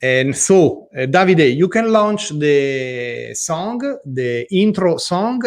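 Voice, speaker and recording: The pitch of this man's voice swings very widely. He talks very slowly. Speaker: livestream show host. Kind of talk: live talk show. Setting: livestream.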